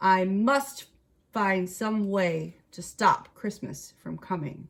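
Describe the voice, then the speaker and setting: In a put-on character voice, someone growls at a very slow pace with lively intonation. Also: woman, medium pitch for a woman. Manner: growling, scheming.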